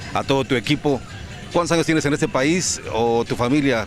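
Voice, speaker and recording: A man talks at a fairly quick pace as music continues in the background. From Mexico. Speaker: interviewer. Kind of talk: interview.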